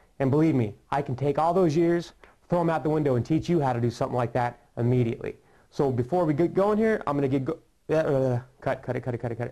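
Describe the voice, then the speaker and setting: A man's fairly high voice with a dark, mellow tone, ordinary pitch variation and a very fast pace. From US West, Las Vegas, Nevada. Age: 20s. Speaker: magician. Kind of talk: tutorial.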